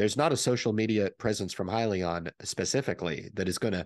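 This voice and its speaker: A man with a fairly low pitch and ordinary pitch variation at a fairly quick pace, dry sound with no echo and a quiet background. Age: 40s. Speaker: stock market YouTuber; stock commentator. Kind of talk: solo video commentary. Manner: many filler words and hesitations. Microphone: studio mic.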